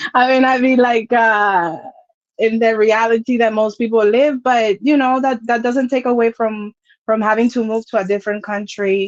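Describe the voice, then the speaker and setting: This woman talks at a moderate pace with a slight Dominican accent and a fairly high pitch. Her intonation is fairly even, her loudness very even, and the sound dry and close with no echo. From Dominican Republic. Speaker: content creator. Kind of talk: casual chat.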